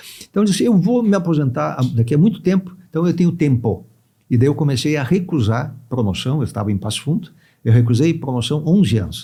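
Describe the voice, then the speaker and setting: Breathy to some degree, a man talks at a very fast pace with a dark, mellow tone, a fairly high pitch and very wide pitch swings. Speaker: judge and law professor. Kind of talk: podcast interview. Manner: conversational, frequent fillers.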